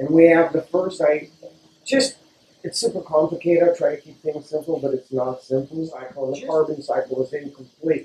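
Here a man's voice sits fairly high. Light background noise and audible room echo can be heard. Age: 60s. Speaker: water filtration business owner. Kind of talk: interview explaining product. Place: shop.

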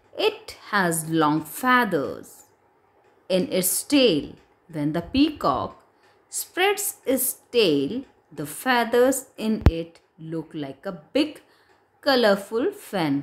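A woman's voice with very wide pitch swings, in a very clean recording with a silent background. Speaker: English teacher. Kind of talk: lesson. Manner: slow, explanatory.

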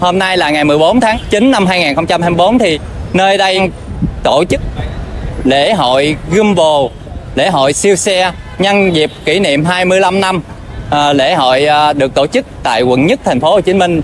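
Music plays in the background while the speech moves at a very slow pace with ordinary pitch variation. The sound is dry with no echo. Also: man, high pitch for a man. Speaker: travel vlogger. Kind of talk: casual vlog chat. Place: street. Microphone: phone near.

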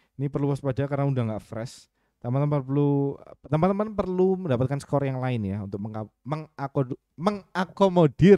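A man speaks at a fairly quick pace with lively intonation and a fairly high pitch. His tone is dark and mellow, the sound is dry with no echo, and the background is quiet. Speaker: trading mentor. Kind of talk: live webinar tutorial. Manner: halting, stumbling over words; casual, thinking aloud. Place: home room.

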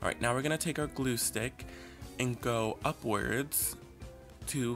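Clear music plays in the background as a man speaks very slowly. His tone is upbeat. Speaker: makeup artist. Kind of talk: makeup tutorial narration. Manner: casual, upbeat.

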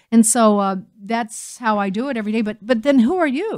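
At a fairly quick pace, a woman with an American accent speaks with ordinary pitch variation against a quiet background. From United States. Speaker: talk radio host. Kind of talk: radio talk show monologue. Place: studio.

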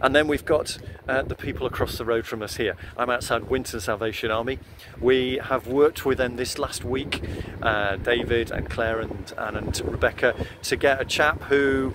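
A man talks at a moderate tempo, with noticeable background noise behind him. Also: ordinary pitch variation, dry sound with no echo. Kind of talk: casual vlog update. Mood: warm, upbeat. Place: street. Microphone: earbuds.

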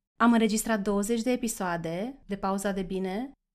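In a very clean recording with a silent background, a woman with a plain, everyday voice talks at a moderate pace with fairly even intonation. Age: 40s. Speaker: life coach and podcast host. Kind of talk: solo podcast monologue.

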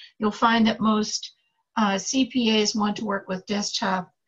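A woman talks fairly slowly in a somewhat breathy voice, her intonation fairly even. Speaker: tax student. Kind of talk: casual chat.

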